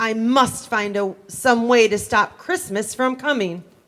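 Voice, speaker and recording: In a put-on character voice, a female-sounding speaker growls at a fairly high pitch and a fairly slow pace. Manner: growling, grumpy.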